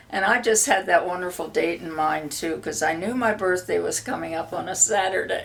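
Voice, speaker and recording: Speaking at a moderate pace with hardly any pauses, the voice comes through over noticeable background noise. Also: woman. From Pennsylvania (suburban Philadelphia). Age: 80s+. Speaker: interviewee. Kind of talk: casual interview chat.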